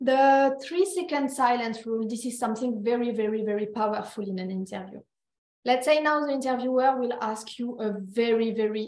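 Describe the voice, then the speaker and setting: A woman talks in a normal speaking voice. Her pitch is fairly high, with ordinary pitch variation. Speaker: recruiter. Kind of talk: workshop presentation.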